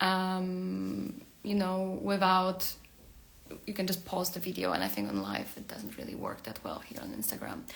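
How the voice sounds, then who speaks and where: Audible room echo surrounds a woman's voice. She speaks at a moderate pace with a Polish accent. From Poland. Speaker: career coach and tech worker. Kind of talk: livestream talk. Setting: Instagram live video. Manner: hesitant, many fillers.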